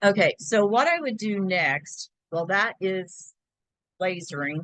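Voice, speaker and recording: A woman speaks loudly in a bright, sharp tone. The sound is dry with no echo, over a quiet background. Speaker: laser engraving crafter teaching; craft software demonstrator. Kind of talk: tutorial. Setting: video call. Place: home room. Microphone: video call.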